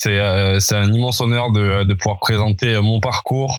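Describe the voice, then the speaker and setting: In a plain, everyday voice, a man speaks with fairly even intonation at a fairly slow pace over a very clean recording with a silent background. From France, Toulouse. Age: 30s. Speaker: entrepreneur, former rugby player. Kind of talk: podcast interview.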